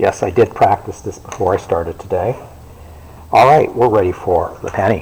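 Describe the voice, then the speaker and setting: A man with a fairly low pitch talks at a moderate pace, his pitch varying in an ordinary way, with noticeable background noise behind him. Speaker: librarian. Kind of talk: tutorial. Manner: casual.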